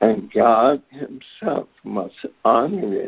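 The speaker is a man. His intonation is lively. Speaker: call participant. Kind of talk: personal sharing. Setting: phone call. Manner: halting.

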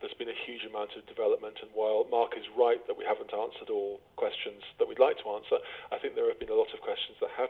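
This man talks at a very fast pace. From England. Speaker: professor of politics. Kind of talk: interview. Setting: remote recording from Belfast.

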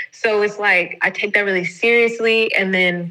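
Over noticeable background noise, a woman speaks at a very slow pace and medium pitch with ordinary pitch variation. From US South. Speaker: podcast host. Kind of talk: casual chat. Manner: animated.

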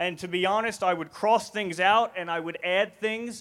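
With a New Jersey accent, a man speaks at a high pitch. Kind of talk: talk to festival audience. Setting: stage with audience.

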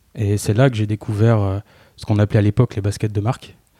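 A man talks at a fairly quick pace in a dark, mellow tone. His fairly low voice has a dry, close sound with no echo. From provincial France. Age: 30s. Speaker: fashion blogger. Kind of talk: casual interview chat.

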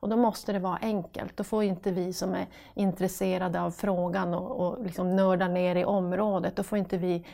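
In a northern Swedish accent, a woman speaks at a moderate pace and medium pitch. Her tone is dark and mellow, with vocal fry and fairly even intonation. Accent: northern Swedish Piteå dialect. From northern Sweden, Piteå. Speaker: recruitment section manager at a hospital. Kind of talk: casual interview.

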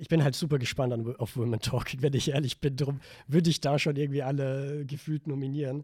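A man speaks fairly quickly in a monotone, flat way, his fairly high voice somewhat breathy with a dark, mellow tone. The recording is very clean with a silent background. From Vorarlberg, western Austria. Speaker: film student, podcast guest. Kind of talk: casual chat.

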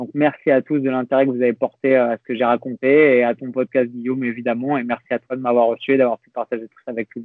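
Very fast, with hardly any pauses, a man talks at a medium pitch. His intonation is monotone and flat, but his loudness swings a lot. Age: 30s. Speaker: fitness coach and youtuber. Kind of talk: interview conversation.

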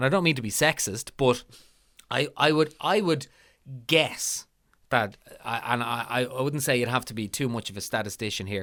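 A man with a Dublin accent, fairly quick pace and ordinary pitch variation. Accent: Dublin Irish. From Ireland, Lucan, Dublin. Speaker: podcast host. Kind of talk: casual chat. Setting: remote call.

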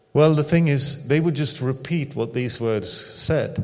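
Over audible room echo, a man with a fairly high voice speaks fairly slowly with ordinary pitch variation. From Sweden. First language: Swedish. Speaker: missionary pastor. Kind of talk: sermon. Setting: church.

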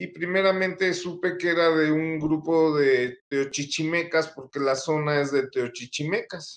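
An unremarkable speaking voice from a man, fairly high in pitch, fairly slow, with fairly even intonation. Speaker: author and researcher. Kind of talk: interview answers. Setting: live video stream.

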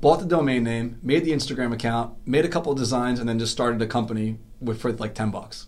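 Talking very fast with hardly any pauses, a man keeps a medium pitch and ordinary pitch variation. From New York City (Queens). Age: 40s. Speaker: BMX rider and business owner. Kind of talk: casual chat.

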